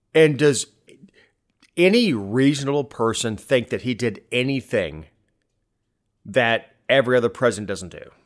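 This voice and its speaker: On a very clean recording with a silent background, a man speaks with lively intonation. His pace is moderate, with long, frequent pauses. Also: medium pitch for a man, big swings in loudness. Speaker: podcast host. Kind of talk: casual political chat. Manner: halting, repeats words.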